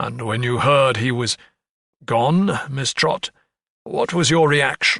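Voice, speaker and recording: A put-on character voice, raspy and fairly slow. Long pauses come often. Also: man, medium pitch for a man. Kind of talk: courtroom speech. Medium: read story. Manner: formal, measured.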